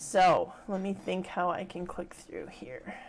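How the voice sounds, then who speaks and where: This is a woman speaking. Her pitch is medium. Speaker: ghost tour guide. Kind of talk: live workshop presentation. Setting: livestream from home office.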